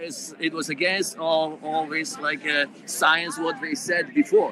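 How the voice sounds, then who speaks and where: This man speaks high for a man, with a Polish accent and very wide pitch swings. Noticeable background noise is present. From Poland. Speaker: protester. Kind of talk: street interview. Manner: halting.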